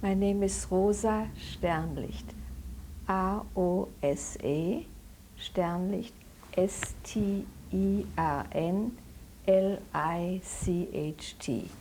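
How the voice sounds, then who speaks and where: Audible room echo hangs around this voice. A woman talks at a very slow pace, with long, frequent pauses. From Germany (Dortmund). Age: 70s. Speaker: Holocaust survivor. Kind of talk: oral history interview. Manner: halting.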